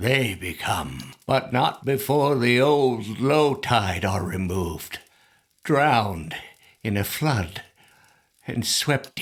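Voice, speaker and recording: A man's put-on character voice at a medium pitch, very slow, with lively intonation. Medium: video game. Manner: halting, trailing off mid-sentence.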